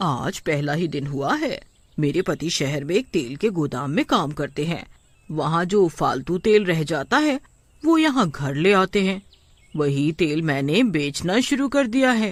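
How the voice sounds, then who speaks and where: A cartoonish character voice at middle pitch moves along at a moderate pace. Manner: friendly, smooth-talking.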